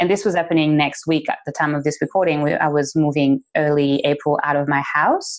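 A woman with a French accent talks fairly quickly, with hardly any pauses, in a very deep, low voice. Her intonation is monotone and flat, and her loudness is very even. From French-speaking country. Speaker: podcast co-host. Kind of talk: casual chat.

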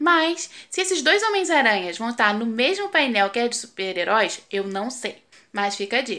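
A woman with a high, bright and sharp voice speaks at a moderate pace with very wide pitch swings on a very clean recording with a silent background. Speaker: professional voice actress. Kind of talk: casual video segment. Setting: video recording. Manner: casual.

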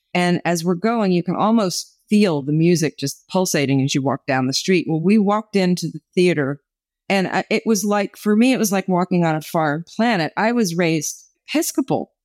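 A woman with an American accent talks at a moderate pace, her fairly low voice carrying lively intonation in an unremarkable speaking voice. The recording is very clean with a silent background and a dry, close sound with no echo. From New Jersey. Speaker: author and former actress. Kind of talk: testimony.

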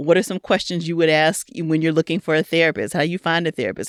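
A woman is heard in a dry, close sound with no echo, in a very clean recording with a silent background. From Louisiana. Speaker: clinical psychologist and podcast host. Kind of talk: interview.

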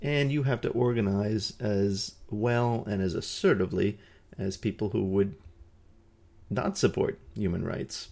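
With a dark, mellow tone and a fairly low pitch, a man speaks at a moderate pace using lively intonation. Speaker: podcast host and peace educator. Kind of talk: solo educational podcast talk. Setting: indoor room with nearby highway traffic noise.

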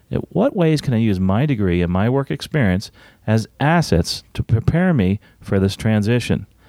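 A man talks in a dark, mellow tone with big pitch swings.

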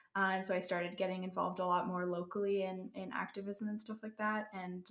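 With a Canadian accent, a woman of medium pitch has an unremarkable speaking voice and talks at a moderate pace with fairly even intonation. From Canada. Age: 20s. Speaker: violinist and music student. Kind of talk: casual interview conversation.

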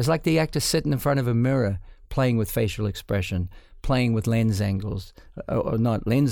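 In a very clean recording with a silent background, a voice with a dark, mellow tone and a New Zealand accent moves at a fairly quick pace with ordinary pitch variation. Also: man. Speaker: cinematographer. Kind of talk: interview. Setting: studio.

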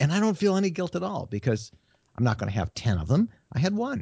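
A man speaks in a somewhat breathy voice at a fairly quick pace. His pitch swings very widely. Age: 60s. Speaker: media writer and travel blogger. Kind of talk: interview. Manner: halting, with fillers and repeated words.

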